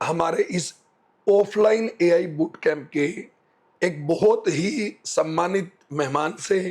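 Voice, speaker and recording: The man's voice is high for a man. Its pitch variation is ordinary. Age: 30s. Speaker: AI trainer, interviewer. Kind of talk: interview questions.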